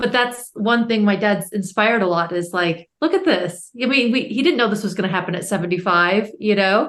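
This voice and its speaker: A woman with an American accent talks in an ordinary speaking voice at a medium pitch with ordinary pitch variation. She goes at a fairly quick pace with hardly any pauses. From United States. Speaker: educator and author's daughter. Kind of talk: podcast interview.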